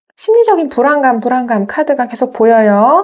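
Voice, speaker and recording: A woman speaks at a moderate pace in a high pitch, her intonation lively. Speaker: tarot reader. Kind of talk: tarot reading monologue.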